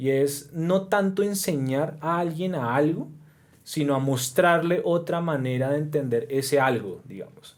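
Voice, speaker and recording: Pitched fairly high, a man's voice moves up and down in an ordinary way. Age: 30s. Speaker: professor. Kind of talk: casual chat. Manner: halting.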